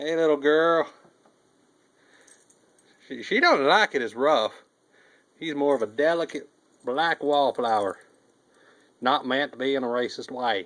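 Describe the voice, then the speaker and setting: A man with a Southern US accent, fairly high in pitch, with ordinary pitch variation at a fairly slow pace and with long, frequent pauses. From US South. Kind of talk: casual talk while filming pets. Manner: playful, cooing to pets.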